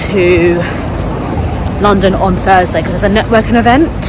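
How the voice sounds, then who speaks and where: A woman talks at a fairly quick pace with ordinary pitch variation, her voice dry with no echo and crowd noise behind her. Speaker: vlogger. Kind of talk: casual vlog chat. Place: street. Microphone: phone near.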